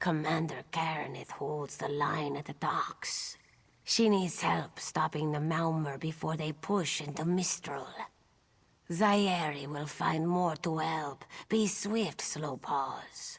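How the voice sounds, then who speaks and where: The voice is a put-on character at a middle pitch. Its delivery is fairly slow. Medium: video game. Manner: brisk, urgent.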